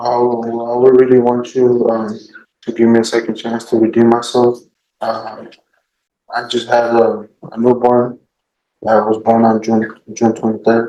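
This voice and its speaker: A man with a Spanish accent speaks quietly at a fairly slow pace, leaving long, frequent pauses. His medium-pitched voice is dark and mellow, with monotone, flat intonation. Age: 20s. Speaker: defendant. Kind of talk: court testimony. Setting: courtroom. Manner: halting, stammering.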